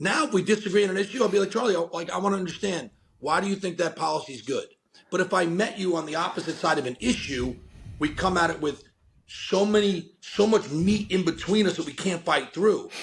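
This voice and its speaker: The man's voice is high-pitched and loud, and its pitch varies in an ordinary way. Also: fairly quick pace. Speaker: company founder and podcast guest. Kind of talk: podcast interview. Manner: energetic, enthusiastic.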